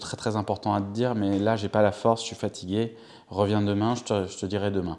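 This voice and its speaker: A man speaks with a fairly low voice. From Paris region, France. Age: 40s. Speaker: interviewee telling family history. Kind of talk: personal testimony interview. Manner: halting, many fillers.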